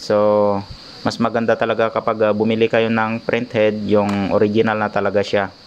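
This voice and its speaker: Against noticeable background noise, a man speaks at a moderate pace in a medium-pitched, monotone, flat voice. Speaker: repair technician vlogger. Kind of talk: tutorial. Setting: at home workshop. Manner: hesitant, many filler ahs; raised voice over rain noise.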